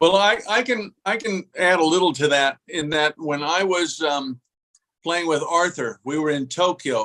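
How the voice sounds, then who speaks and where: This man's voice sits high in pitch, with a bright, sharp tone. He speaks at a fairly slow pace with ordinary pitch variation. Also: dry, close sound with no echo. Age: 70s. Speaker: former pro tennis player. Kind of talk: casual chat.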